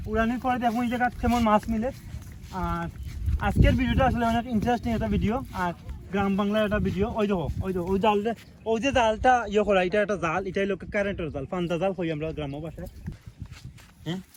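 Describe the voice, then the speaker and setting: A man's high-pitched voice with ordinary pitch variation against noticeable background noise. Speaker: vlogger. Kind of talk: outdoor vlog narration. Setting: outdoors.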